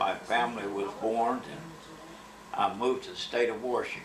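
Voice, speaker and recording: Speaking fairly slowly with an Appalachian accent, a man of medium pitch is heard with audible room echo and noticeable background noise. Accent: Appalachian Kentucky. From Kentucky (Berea, Madison County). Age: 80s+. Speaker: war veteran. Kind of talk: life story interview.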